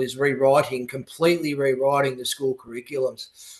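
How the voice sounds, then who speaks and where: This man talks at a fairly quick pace with an Australian accent. His pitch is medium. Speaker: politician and youth advocate. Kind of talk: radio interview. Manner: halting.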